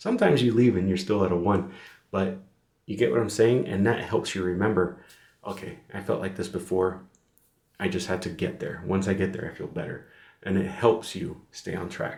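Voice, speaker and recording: Somewhat breathy and very deep in pitch, a man speaks at a moderate pace against audible room echo. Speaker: fitness vlogger. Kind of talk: casual vlog monologue. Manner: monotone; rambling, filler-heavy.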